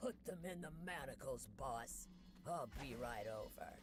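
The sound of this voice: A man's gruff, put-on character voice at a fairly slow pace, with loud background noise.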